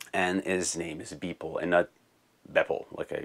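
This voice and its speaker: Someone with a French Canadian accent talks at a moderate pace in a very clean recording with a silent background. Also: man. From Quebec. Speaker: music tech YouTuber. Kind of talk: casual Q&A video answering viewer comments. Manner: halting, with repeated words.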